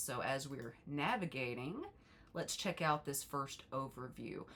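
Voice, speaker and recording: Noticeable background noise sits behind a woman who speaks at a moderate pace with lively intonation. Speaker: college instructor. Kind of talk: tutorial. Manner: animated.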